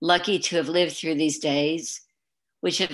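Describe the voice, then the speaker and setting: The woman's voice is very deep and low, with monotone, flat intonation. The background is quiet. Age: 70s. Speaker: poet. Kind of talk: reading aloud.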